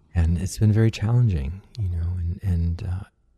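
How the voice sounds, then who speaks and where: Resonant and somewhat breathy, a man speaks with a very deep, low pitch and a dark, mellow tone at a moderate pace. The recording is very clean, with a silent background. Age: 50s. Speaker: podcast host, musician and wellness teacher. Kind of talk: casual interview conversation.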